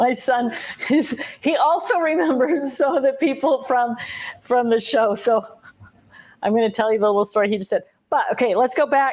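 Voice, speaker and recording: A woman with a high pitch speaks in an animated tone with lively intonation. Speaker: craft livestream host. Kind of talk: casual live chat. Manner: fast.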